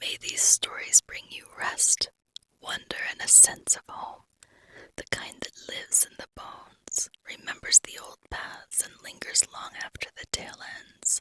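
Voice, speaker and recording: A woman whispers at a fairly slow pace. Her loudness swings widely, and the sound is dry and close with no echo. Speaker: storyteller. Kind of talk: fantasy story reading. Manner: whispered.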